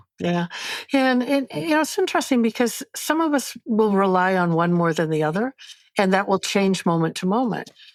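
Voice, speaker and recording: A woman's medium-pitched voice at a moderate pace, with very wide pitch swings and very even loudness, on a very clean recording with a silent background. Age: 70s. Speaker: polyvagal theory educator and author. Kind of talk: podcast interview.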